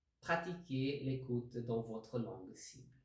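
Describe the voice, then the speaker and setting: A man speaks with a non-native accent and lively intonation, somewhat breathy. Audible room echo surrounds the voice. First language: not French (speaking French). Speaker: language learning video host. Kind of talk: tutorial. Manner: halting.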